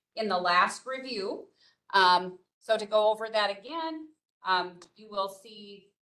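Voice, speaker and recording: There is audible room echo as a woman speaks in a bright, sharp tone. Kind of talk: presentation. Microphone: video call.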